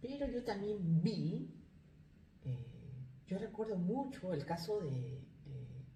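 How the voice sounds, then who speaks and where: Audible room echo surrounds a woman speaking at a very slow pace in a fairly low pitch, with very wide pitch swings and long, frequent pauses. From Peru. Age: 40s. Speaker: life coach, migrant. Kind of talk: interview. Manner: halting.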